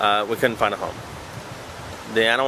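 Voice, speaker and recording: Through noticeable background noise comes a man's fairly low voice. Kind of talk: casual talk to camera. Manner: hesitant, stuttering, many filler sounds.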